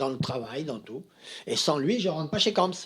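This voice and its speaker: A man is speaking. His pitch swings very widely. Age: 80s+. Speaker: master tailor. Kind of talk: interview. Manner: repetitive, halting.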